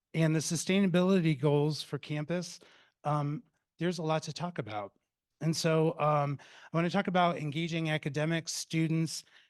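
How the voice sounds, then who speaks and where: With a plain, everyday voice, a man speaks at a moderate pace in a fairly high pitch and fairly even intonation, the sound dry and close with no echo against a quiet background. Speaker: campus dining director. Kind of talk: presentation.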